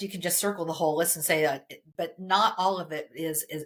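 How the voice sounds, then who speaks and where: A woman's speech at a moderate pace. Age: 60s. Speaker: career coaching company founder. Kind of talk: casual interview conversation. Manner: animated.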